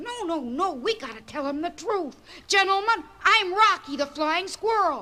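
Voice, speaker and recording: An extremely high-pitched cartoonish character voice delivered at a moderate pace. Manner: earnest, eager.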